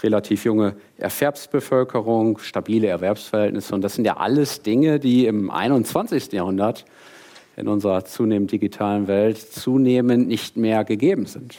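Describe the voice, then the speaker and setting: A man speaks with a dark, mellow tone at a fairly low pitch. His pace is moderate, with ordinary pitch variation. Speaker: professor. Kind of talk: lecture. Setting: stage with audience.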